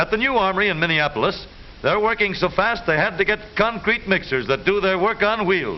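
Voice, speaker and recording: Noticeable background noise sits behind a man who speaks at a moderate pace with a high pitch. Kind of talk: newsreel narration. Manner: upbeat, wry.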